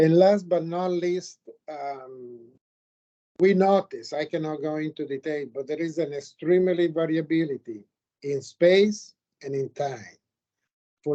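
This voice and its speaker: A man with an Italian accent speaks at a high pitch with ordinary pitch variation. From Italy. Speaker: geologist, committee member. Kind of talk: academic Q&A feedback.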